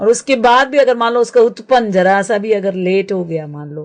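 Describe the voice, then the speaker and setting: A moderate pace with ordinary pitch variation. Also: woman. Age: 60s. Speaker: naturopath and permaculture practitioner. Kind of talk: radio interview. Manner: halting, many fillers.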